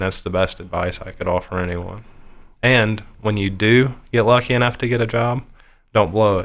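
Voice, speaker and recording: With an American accent, the speaker keeps a moderate pace and fairly even intonation on a very clean recording with a silent background. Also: man. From Ohio. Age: 30s. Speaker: IT technician. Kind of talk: interview.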